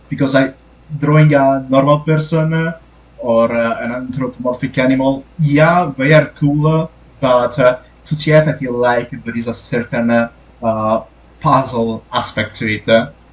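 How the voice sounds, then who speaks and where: Against noticeable background noise, the speaker talks at a moderate pace in an Italian accent with fairly even intonation. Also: man, medium pitch for a man. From Italy. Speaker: TF artist, podcast guest. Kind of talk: casual podcast interview. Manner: halting, many fillers.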